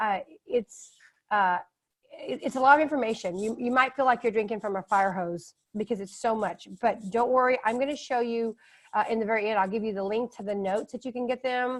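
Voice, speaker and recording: In a Texan accent, the speaker talks at a fairly quick pace with ordinary pitch variation. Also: woman, fairly high pitch for a woman. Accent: Texan American English. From Texas. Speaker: author and test prep educator. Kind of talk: webinar presentation. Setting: online webinar. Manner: fast.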